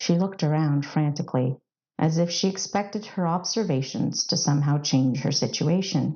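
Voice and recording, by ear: Her voice is low-pitched with a dark, mellow tone, and this woman speaks at a moderate pace with ordinary pitch variation.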